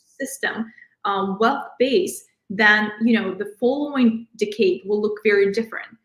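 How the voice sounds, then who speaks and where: Somewhat breathy, a woman speaks at a fairly slow pace. Her pitch is fairly high and varies in an ordinary way. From outside the US, immigrant. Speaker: financial advisor. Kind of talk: interview, financial advice.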